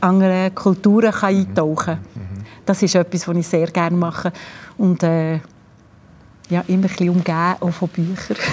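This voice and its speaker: Somewhat breathy and fairly low in pitch, a woman talks at a moderate pace with fairly even intonation and long, frequent pauses. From Switzerland, Bern region. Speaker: former cellist and music school director. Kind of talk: interview.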